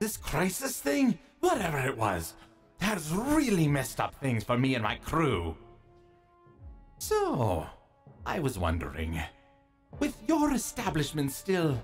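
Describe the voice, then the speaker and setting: A put-on character voice speaks at a fairly slow pace in a low-to-middle pitch. Faint music plays in the background. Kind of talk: audio drama performance. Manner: mocking, playful.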